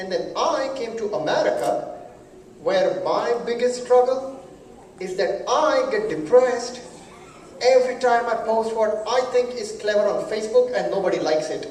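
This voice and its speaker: A man's voice at an extremely high pitch, with ordinary pitch variation, noticeable background noise and audible room echo. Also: moderate pace. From India. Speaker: comedian and event emcee. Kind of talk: stand-up. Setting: stage with audience and PA system.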